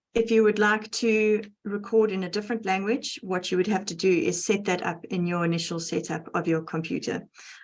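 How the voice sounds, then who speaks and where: Speaking at a fairly quick pace with a South African accent, the voice keeps a fairly even intonation. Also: woman. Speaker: educational technologist. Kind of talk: tutorial.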